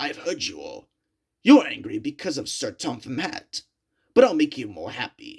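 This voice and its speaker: This is a raspy, put-on character voice. It moves at a moderate pace. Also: man, high pitch for a man. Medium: read story. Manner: menacing.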